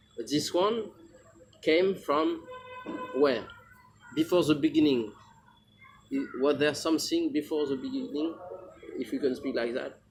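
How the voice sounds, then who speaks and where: Over music in the background, a man in a French accent speaks at a fairly slow pace with long, frequent pauses. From France. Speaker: spiritual teacher. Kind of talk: spiritual talk. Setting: small group gathering. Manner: halting.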